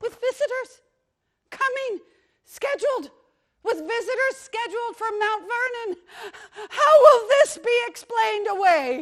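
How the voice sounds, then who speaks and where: A woman performs a put-on character voice, squeaky and extremely high-pitched, at a moderate pace. Her intonation is lively, her loudness swings widely, and she takes long, frequent pauses. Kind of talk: satirical stage monologue. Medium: stage play. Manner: genteel, theatrical, exclamatory.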